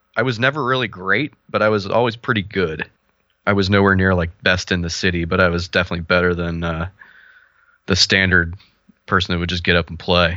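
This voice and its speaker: A man with a Midwestern American accent speaks at a fairly quick pace, his very deep, low voice carrying a bright, sharp tone. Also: ordinary pitch variation, quiet background. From Ohio, US Midwest. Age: 30s. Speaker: fighting game player and clothing designer. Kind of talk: casual chat.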